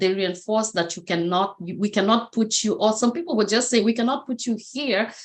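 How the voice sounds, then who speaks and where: A woman with a Kenyan accent, ordinary pitch variation and a moderate pace. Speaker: motivational speaker. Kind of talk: interview testimony.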